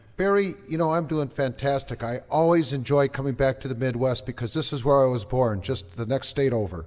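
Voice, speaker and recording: Over noticeable background noise, a medium-pitched man with an American accent talks at a fairly quick pace with hardly any pauses and lively intonation. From Minnesota, Twin Cities. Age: 50s. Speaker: network marketing entrepreneur. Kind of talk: interview. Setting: studio.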